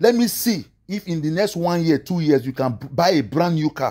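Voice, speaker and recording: A man's voice moves through very wide pitch swings. The background is quiet. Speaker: online preacher commentator. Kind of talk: angry rant, sermon-like preaching, scolding pastors and motivational speakers. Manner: indignant, emphatic, exasperated. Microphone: phone near.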